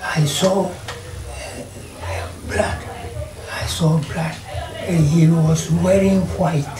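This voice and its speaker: Through noticeable background noise, a man speaks at a very slow pace. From Ghana. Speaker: retired police officer, eyewitness. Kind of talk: interview answer. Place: home room.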